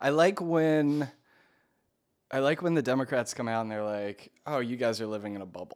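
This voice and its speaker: With a normal speaking voice and an American accent, a man talks at a fairly quick pace with ordinary pitch variation on a very clean recording with a silent background. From Maryland. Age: 30s. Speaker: podcast host. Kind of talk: casual chat.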